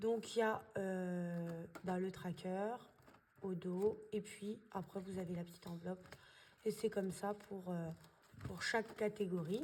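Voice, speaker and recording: The very slow voice sounds somewhat breathy, and its pitch varies in an ordinary way. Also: woman. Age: 20s. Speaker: budgeting vlogger. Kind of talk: casual tutorial. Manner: hesitant, many fillers.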